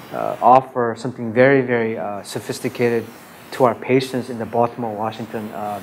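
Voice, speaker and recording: A man speaks at a medium pitch and a fairly quick pace, his loudness swinging widely. His intonation stays fairly even, with noticeable background noise. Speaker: radiation oncologist. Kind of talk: conference talk.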